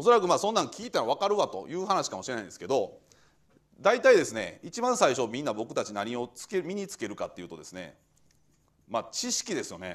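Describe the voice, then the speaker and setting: A man talks at a very fast pace, his loudness swinging widely. The background is quiet. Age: 40s. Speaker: administrative scrivener firm head; guest lecturer. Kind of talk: lecture. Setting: lecture hall with audience. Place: classroom.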